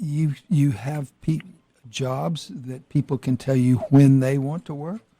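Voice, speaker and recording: Very slowly, a man with an American accent speaks in a fairly high, somewhat breathy voice with a dark, mellow tone and ordinary pitch variation, the sound dry and close with no echo. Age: 80s+. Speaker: radio host. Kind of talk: radio interview. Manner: halting.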